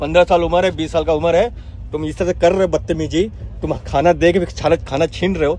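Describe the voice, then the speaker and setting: A man's high-pitched, fairly quick speech with fairly even intonation, a dry sound with no echo and light background noise. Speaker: travel vlogger. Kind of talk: heated argument, then casual vlog chat. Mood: angry, arguing. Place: train. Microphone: phone near.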